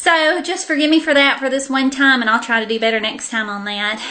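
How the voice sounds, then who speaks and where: A woman talking at a very fast pace with a Southern US accent, noticeable background noise behind her. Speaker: beauty vlogger. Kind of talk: casual haul video monologue. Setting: sitting on the floor at home.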